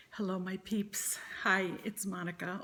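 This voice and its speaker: Speaking at a very slow pace, a woman sounds somewhat breathy, her intonation fairly even. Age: 60s. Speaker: vlogger sharing weight-loss surgery journey. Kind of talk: personal vlog monologue. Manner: hesitant, many fillers.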